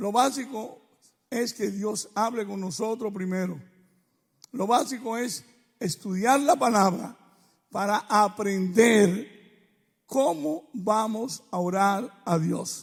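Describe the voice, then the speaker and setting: At a very slow pace with long, frequent pauses, a man with a high voice speaks with ordinary pitch variation. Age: 60s. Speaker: preacher. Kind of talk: sermon.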